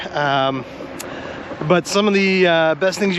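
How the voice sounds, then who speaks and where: A man at a moderate pace, noticeable background noise behind him. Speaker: car YouTuber. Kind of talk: casual vlog walkthrough. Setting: Corvette museum, indoors. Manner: casual, hesitant with fillers.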